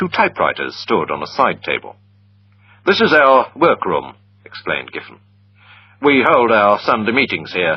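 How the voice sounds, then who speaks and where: This is a man speaking. His pace is moderate. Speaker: story narrator. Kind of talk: read story for English learners. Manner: clear.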